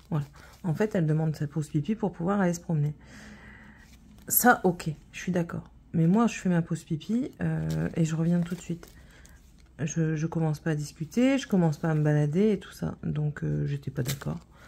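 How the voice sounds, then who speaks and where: A woman speaks in a fairly low, somewhat breathy voice with a dark, mellow tone. Her pace is moderate, her pitch varies by an ordinary amount, and she takes long, frequent pauses. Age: 30s. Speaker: vlogger. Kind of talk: casual chat. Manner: hesitant, many fillers.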